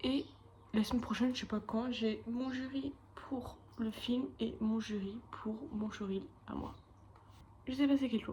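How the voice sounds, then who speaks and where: Against noticeable background noise, a woman with a fairly high pitch speaks fairly slowly and with fairly even intonation, taking long, frequent pauses. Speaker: animation student vlogger. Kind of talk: casual vlog. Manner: casual, chatty.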